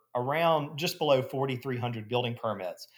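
Man with an Alabama accent, medium pitch, ordinary pitch variation, moderate pace. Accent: US Southern (Alabama). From Alabama (Gadsden). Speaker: real estate developer. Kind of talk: interview.

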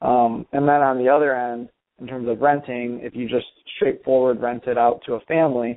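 A man speaks at a moderate pace with a Michigan accent. His voice sits at a medium pitch, delivered in a flat monotone. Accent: Midwestern American (Michigan). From Michigan, suburbs of Detroit. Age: young. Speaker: real estate investor. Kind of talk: interview.

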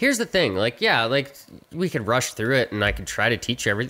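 Speaking at a very fast pace with a Canadian accent, a man has a bright, sharp tone and very wide pitch swings. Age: 30s. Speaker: podcast co-host. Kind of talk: casual chat.

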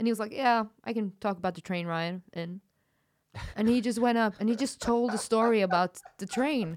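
A woman speaks with a Norwegian accent. Her pitch is fairly high, and her pace is moderate. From far north Norway, Kirkenes by Russian border. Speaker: comedian. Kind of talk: casual chat. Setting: studio.

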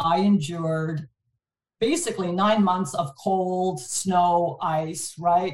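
This woman talks at a very slow pace. Her voice is somewhat breathy. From Montreal, Canada. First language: French. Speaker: distribution executive. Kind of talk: casual interview.

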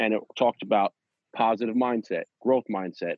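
A man talks at a moderate pace. His is a plain, everyday voice. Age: 30s. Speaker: podcast co-host. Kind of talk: casual chat.

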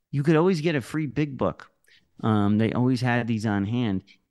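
This man has an unremarkable speaking voice at a medium pitch, using lively intonation at a moderate pace in a dry, close sound with no echo. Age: middle-aged. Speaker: podcast co-host. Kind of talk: reading listener reviews; casual chat. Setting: video call.

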